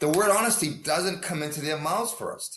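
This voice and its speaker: In an American accent, a man with a bright, sharp tone speaks at a fairly slow pace with ordinary pitch variation and audible room echo. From US Northeast. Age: 60s. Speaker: hockey coach. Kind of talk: interview.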